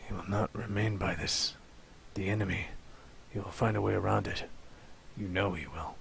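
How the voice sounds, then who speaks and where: Whispering in a raspy, put-on character voice, a man keeps a moderate pace with long, frequent pauses over clear background noise. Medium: read story. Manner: shaken, whispering.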